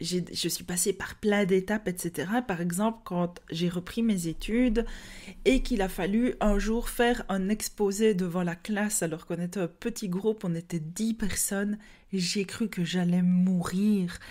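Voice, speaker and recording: A woman with a Liège accent speaks fairly slowly in a medium pitch, with a dark, mellow tone and fairly even intonation. The recording is very clean, with a silent background. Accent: Liège Belgian French. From Belgium, Liège. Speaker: podcast host, yoga teacher. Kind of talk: personal development podcast monologue. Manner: hesitant, many fillers and repetitions.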